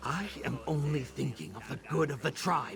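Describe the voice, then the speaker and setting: A man puts on a character voice at a moderate pace. Background noise is clearly audible. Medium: video game. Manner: cold, blunt.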